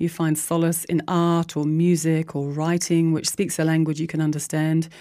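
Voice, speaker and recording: In a New Zealand accent, a woman speaks at a moderate pace with a dark, mellow tone and fairly low pitch, on a very clean recording with a silent background. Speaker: community radio host. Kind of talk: scripted narration. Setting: radio studio.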